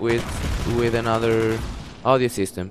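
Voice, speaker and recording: A man at a medium pitch and a fairly slow pace, with noticeable background noise. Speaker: gamer. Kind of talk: gameplay commentary.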